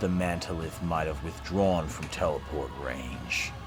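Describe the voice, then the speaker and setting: A man talks at a fairly slow pace in a very deep, low pitch. Loud background noise runs underneath. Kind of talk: dramatic audiobook reading. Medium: read story. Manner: measured, dramatic.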